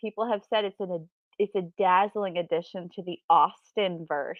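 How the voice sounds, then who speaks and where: This woman speaks at a fairly slow pace. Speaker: book youtuber co-hosting reading sprint. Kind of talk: casual chat. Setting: live stream wearing noise canceling headphones. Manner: loud, yelling; animated.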